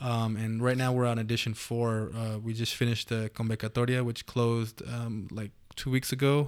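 A man's monotone, flat delivery in a very clean recording with a silent background. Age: 30s. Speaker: audio and lighting technician. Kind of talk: casual chat. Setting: studio.

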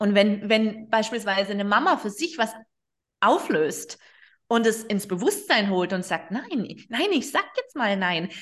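With an unremarkable speaking voice, a woman of fairly high pitch speaks at a fairly slow pace against a quiet background. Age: 40s. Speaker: holistic therapist and past-life regression practitioner. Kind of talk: interview.

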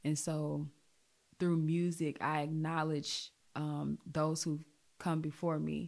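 A woman with an American accent, very deep and low in pitch, at a very slow pace with long, frequent pauses, monotone, flat intonation and very even loudness, on a very clean recording with a silent background. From US South (Louisiana, Mississippi). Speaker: performing artist. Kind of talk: personal interview testimony.

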